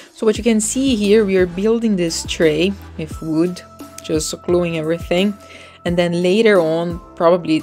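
With faint music in the background, a woman with a fairly low pitch talks at a moderate pace, using ordinary pitch variation. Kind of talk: casual vlog chat. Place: street. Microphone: phone near.

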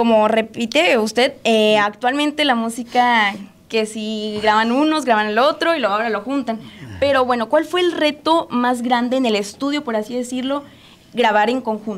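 Her pitch is high, with ordinary variation. The woman keeps a moderate pace. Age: young. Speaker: interviewer. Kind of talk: interview. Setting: studio. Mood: friendly, smiling. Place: studio. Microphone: handheld.

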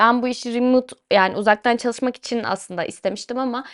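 Against a quiet background, a woman talks in a high voice. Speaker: podcast host. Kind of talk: personal monologue. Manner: casual, chatty.

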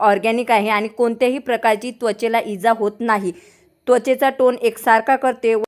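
A woman speaks at a fairly high pitch in a monotone, flat delivery. The recording is very clean, with a silent background. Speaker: family vlogger. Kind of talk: casual vlog talk to camera. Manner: loud.

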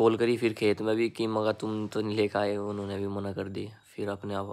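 A man speaks at a moderate pace and a fairly low pitch. His intonation is monotone and flat. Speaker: vlogger. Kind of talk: casual vlog chat. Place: home room. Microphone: phone near.

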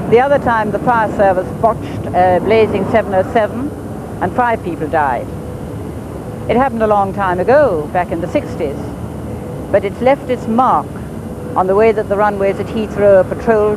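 A woman pauses long and often, the sound dry with no echo and noticeable background noise behind her. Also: ordinary pitch variation, moderate pace. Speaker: TV presenter. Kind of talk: piece to camera. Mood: wry, then grave. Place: street.

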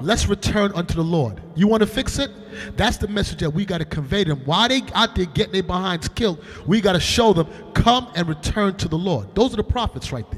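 A man speaks at a fairly quick pace, his pitch high and his intonation lively. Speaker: religious teacher. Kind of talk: bible class. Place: hall. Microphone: handheld.

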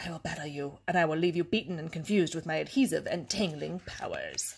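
Someone talks in a put-on character voice at a middle pitch. The pace is very fast. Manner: menacing, boastful.

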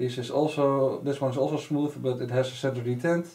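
A man with a Dutch accent talks at a moderate pace in a somewhat breathy voice with a dark, mellow tone. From Netherlands. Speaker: RC hobbyist reviewer. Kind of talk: casual product review to camera. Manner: hesitant, many fillers. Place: workshop.

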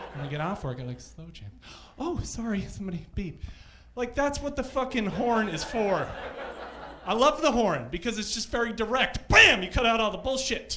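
Raising and projecting his high voice, a man speaks with lively intonation and big swings in loudness over light background noise. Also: moderate pace. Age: 30s. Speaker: stand-up comedian. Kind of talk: stand-up. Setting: stage with audience. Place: stage. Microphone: handheld.

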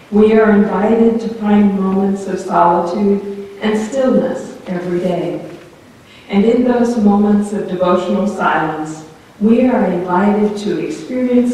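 A woman speaks at a fairly slow pace with ordinary pitch variation. Strong room echo surrounds her voice. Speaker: preacher. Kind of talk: sermon. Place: church.

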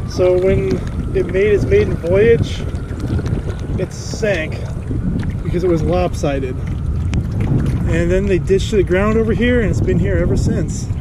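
Over loud background noise, a man speaks at a fairly slow pace with long, frequent pauses. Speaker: kayaker vlogger. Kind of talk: casual vlog narration. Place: waterside. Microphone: phone near.

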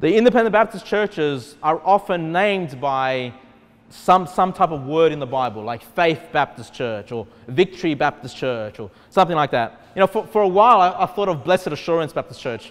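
Lively in intonation, a man with an Australian accent talks at a fairly quick pace. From Australia, Sydney. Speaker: pastor. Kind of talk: sermon. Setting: church. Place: hall.

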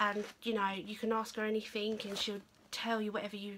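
A woman's fairly bright tone at a medium pitch

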